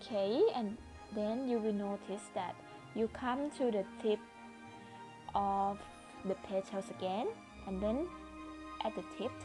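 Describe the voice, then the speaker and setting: Quiet and at a medium pitch, a woman speaks at a fairly slow pace with long, frequent pauses while music plays in the background. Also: ordinary pitch variation. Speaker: crochet instructor. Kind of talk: crochet tutorial narration. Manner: quiet, low volume.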